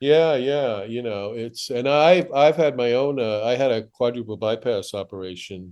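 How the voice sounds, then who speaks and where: With an American accent, a man talks at a moderate pace and medium pitch, using ordinary pitch variation, hardly any pauses, and a quiet background behind him. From New York (Manhattan, then Southampton, Long Island). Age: 60s. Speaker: comedian and TV writer. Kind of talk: podcast interview. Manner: halting.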